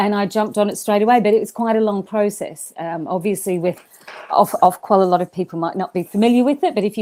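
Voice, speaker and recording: With an Australian accent, a woman speaks at a fairly quick pace in a dark, mellow tone, her medium pitch showing ordinary variation. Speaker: event management school leader. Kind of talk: podcast interview. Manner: animated; halting.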